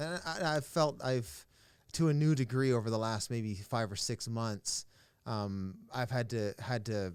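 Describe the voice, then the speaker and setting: A man's plain, everyday voice at a fairly slow pace, with ordinary pitch variation on a very clean recording with a silent background. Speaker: pastor. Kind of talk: podcast conversation.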